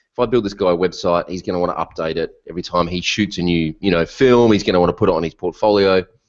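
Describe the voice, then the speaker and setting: Someone speaks at a very fast pace with an Australian accent. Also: man. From Australia (Melbourne). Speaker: WordPress consultant. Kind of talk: interview. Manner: animated.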